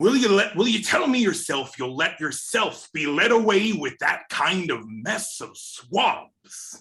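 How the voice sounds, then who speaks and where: Using a put-on character voice, a man speaks high and at a fairly slow pace with hardly any pauses. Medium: stage play.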